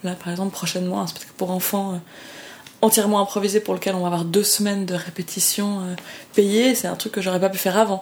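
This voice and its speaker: Over noticeable background noise, a woman talks at a very fast pace in monotone, flat intonation at a medium pitch. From Switzerland, Lausanne. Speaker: professional improv performer. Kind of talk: casual interview.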